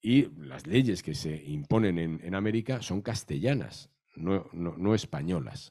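The voice has a dark, mellow tone and lively intonation. The background is quiet. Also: man. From Madrid, Spain; Spain. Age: 60s. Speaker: novelist and historian; guest. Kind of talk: panel talk. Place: hall. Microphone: handheld.

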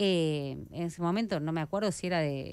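A woman talks in a normal speaking voice at a moderate pace and fairly low pitch, the sound dry with no echo. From Argentina. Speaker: radio host. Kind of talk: radio interview. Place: studio. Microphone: studio mic.

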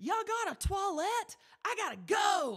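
This is a put-on character voice with a Southern US accent, pitched extremely high. The speaker is shouting. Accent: American, Southern. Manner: loud.

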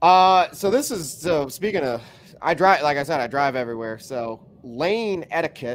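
In a very clean recording with a silent background, a man with an American accent speaks at a moderate pace in a plain, everyday voice, fairly high-pitched with lively intonation. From Chicago. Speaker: podcast host. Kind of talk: casual chat. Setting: live stream.

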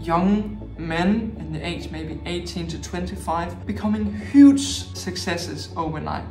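A man's voice with audible room echo and clear music in the background. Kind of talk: advice talk to camera. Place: home room.

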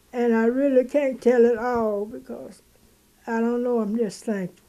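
Her voice is fairly high in pitch, with a dark, mellow tone, as the woman speaks at a moderate pace with monotone, flat intonation. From Mississippi. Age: 80s+. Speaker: home cook and caramel spread maker. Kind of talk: interview answer. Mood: emotional, near tears. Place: home room.

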